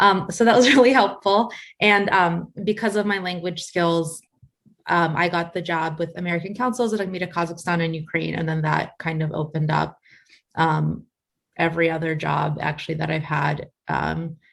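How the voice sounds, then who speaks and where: The speaker talks at a moderate pace with ordinary pitch variation and vocal fry. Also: woman, fairly low pitch for a woman. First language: Russian. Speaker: international development program manager. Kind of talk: panel Q&A with students. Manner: casual, filler-heavy.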